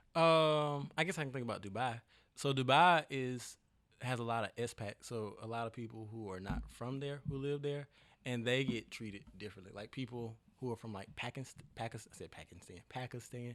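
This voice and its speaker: Here a man talks at a fairly quick pace in a normal speaking voice. His pitch sits in the medium range and moves in an ordinary way. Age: 20s. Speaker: entrepreneur and musician. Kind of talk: casual chat.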